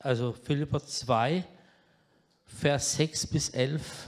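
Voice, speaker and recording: This man's voice sits fairly high, and his intonation stays fairly even. He leaves long, frequent pauses. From southwest Germany, Baden-Württemberg (Pforzheim area). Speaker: guest preacher, addiction ministry leader. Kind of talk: sermon. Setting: church service.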